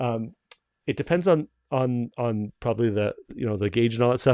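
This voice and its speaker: In a Canadian accent, a man talks in a normal speaking voice at medium pitch with ordinary pitch variation. The sound is dry and close, with no echo. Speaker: company owner hosting livestream. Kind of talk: live stream Q&A. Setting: video call livestream. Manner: casual, many fillers and restarts.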